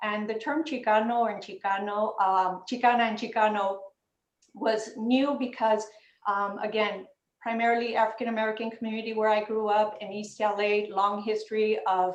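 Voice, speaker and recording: Over audible room echo, a woman with a Spanish accent speaks at a moderate pace and fairly high pitch with fairly even intonation. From US, Los Angeles (South Central). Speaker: panelist. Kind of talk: panel discussion.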